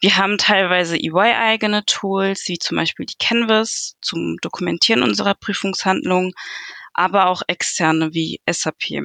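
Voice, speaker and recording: Recorded with a dry, close sound with no echo and a quiet background, a woman talks at a moderate pace and medium pitch, her tone bright and sharp and her pitch variation ordinary. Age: 20s. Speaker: junior auditor. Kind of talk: career interview.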